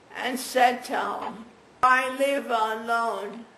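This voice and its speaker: Over noticeable background noise and audible room echo, a woman speaks very slowly in a high pitch. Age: 80s+. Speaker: stroke patient. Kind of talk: testimony. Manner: halting.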